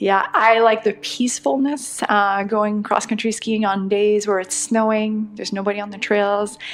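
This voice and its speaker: A woman's fairly high voice in a French-Canadian accent, monotone and flat, at a moderate pace with hardly any pauses. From Quebec, Laurentians. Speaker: trail runner and skier. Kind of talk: podcast interview.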